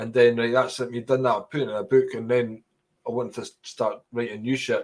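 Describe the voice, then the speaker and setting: A man with a Scottish accent speaks in a flat, monotone intonation. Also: medium pitch for a man, fairly quick pace. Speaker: stand-up comedian. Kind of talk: interview.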